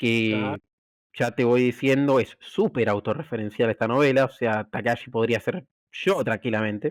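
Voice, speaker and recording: A man in an Argentine accent, ordinary pitch variation, dry, close sound with no echo. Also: medium pitch for a man, fairly slow pace, very even loudness, very clean recording, silent background. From Argentina. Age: young. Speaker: cybersecurity expert and novelist. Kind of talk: interview answer.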